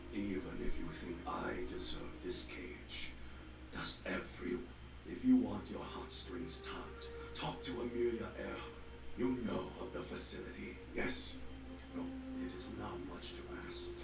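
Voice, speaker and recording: A man performs a put-on character voice with slight echo over loud background noise. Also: moderate pace. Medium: game stream. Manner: commanding, terse.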